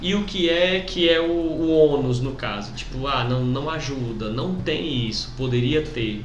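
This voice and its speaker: A man at medium pitch, talking at a fairly slow pace with hardly any pauses, amid noticeable background noise and audible room echo. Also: ordinary pitch variation. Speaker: podcast host and teacher. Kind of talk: casual chat.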